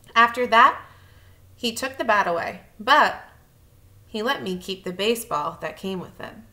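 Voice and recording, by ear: Audible room echo surrounds a woman speaking at a moderate pace with a medium pitch, a bright, sharp tone and lively intonation.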